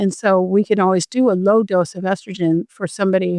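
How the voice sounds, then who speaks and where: A woman's plain, everyday voice, medium in pitch with fairly even intonation, and a dry, close sound with no echo. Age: 60s. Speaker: physician. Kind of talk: interview.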